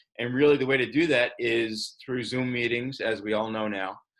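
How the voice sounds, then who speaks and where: A plain, everyday voice belongs to this man, pitched in the medium range. The pace is moderate, the intonation fairly even. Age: 60s. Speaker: startup founder. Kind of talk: video call team meeting.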